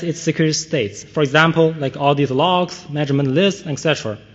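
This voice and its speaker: A man speaks with a non-native accent. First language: not English. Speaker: conference speaker, security researcher. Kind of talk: conference talk. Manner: hesitant, many fillers.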